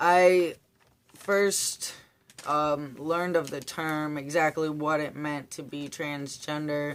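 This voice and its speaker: A man speaks at a very slow pace with a fairly high pitch. His intonation is monotone and flat, with big swings in loudness. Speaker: vlogger. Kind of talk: casual vlog Q&A. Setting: attic under renovation. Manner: rambling with fillers.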